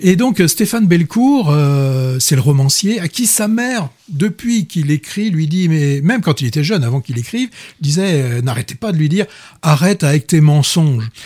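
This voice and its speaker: His pitch swings very widely as the man speaks at a moderate pace in a dark, mellow tone. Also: fairly high pitch for a man. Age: 40s. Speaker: film critic radio host. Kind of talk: casual chat. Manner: halting, frequent repetitions.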